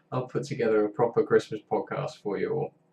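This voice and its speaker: A man speaks in a somewhat breathy voice. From northern England, Carlisle. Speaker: game developer streamer. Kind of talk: casual live stream chat.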